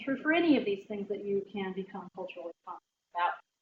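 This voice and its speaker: A woman speaks at a fairly quick pace with an American accent and a medium pitch. Music plays in the background. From Southern Ohio, Appalachian. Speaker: public health program manager, trainer. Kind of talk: lecture. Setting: room with audience.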